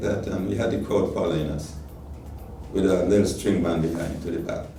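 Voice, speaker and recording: This man's delivery is fairly quick. Music sounds in the background. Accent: Nevisian. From Nevis, Caribbean. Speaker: calypsonian and cultural icon. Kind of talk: interview answer.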